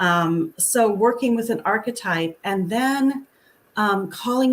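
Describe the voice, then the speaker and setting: A woman's somewhat breathy, fairly high voice at a very slow pace. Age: 60s. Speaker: author. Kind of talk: interview.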